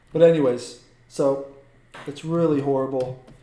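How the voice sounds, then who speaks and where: A man's fairly high voice with fairly even intonation and audible room echo. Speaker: art teacher. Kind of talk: live-stream drawing tutorial. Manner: hesitant, many fillers.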